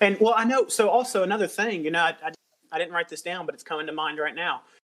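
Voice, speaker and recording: A man talks with a Southern US accent. His intonation is lively. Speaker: podcast host. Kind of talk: casual interview. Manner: halting, many repeated words.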